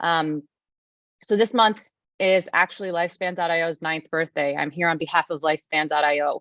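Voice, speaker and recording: The speaker has an American accent and a fairly quick pace, with fairly even intonation. The sound is dry and close, with no echo. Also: woman, fairly low pitch for a woman. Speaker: nonprofit representative presenting at a conference. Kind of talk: conference presentation. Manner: fast.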